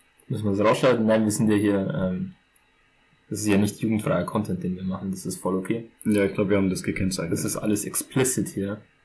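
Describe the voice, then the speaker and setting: In a very clean recording with a silent background, a man with a fairly low voice talks at a very fast pace, his pitch varying an ordinary amount. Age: 20s. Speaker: podcast co-host. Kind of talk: casual chat.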